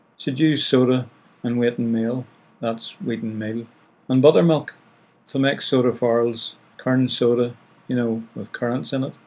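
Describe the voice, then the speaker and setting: In a Northern Irish accent, a man speaks at a medium pitch. His intonation stays fairly even. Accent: Northern Irish (Ulster). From Northern Ireland, County Down. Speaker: radio host. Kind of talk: radio presenting.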